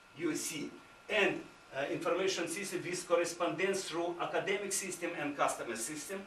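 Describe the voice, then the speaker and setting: Over noticeable background noise and audible room echo, a man with a high pitch talks at a moderate pace with fairly even intonation. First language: Ukrainian or Russian. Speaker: visiting university administrator. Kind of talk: conference presentation. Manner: halting, many fillers.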